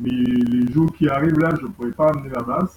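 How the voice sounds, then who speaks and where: A man's voice is heard. Its pitch shifts in a typical way. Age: 60s. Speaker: bass student. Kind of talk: testimony. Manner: halting.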